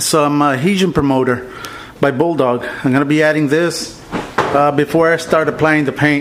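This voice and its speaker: Noticeable background noise accompanies talking that proceeds at a moderate pace. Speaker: car painting hobbyist / video creator. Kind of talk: tutorial. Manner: casual, many filler words.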